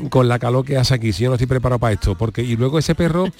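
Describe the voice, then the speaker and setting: Very fast speech from a man at medium pitch, with ordinary pitch variation and noticeable background noise. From Seville. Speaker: radio co-host. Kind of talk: casual chat. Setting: studio.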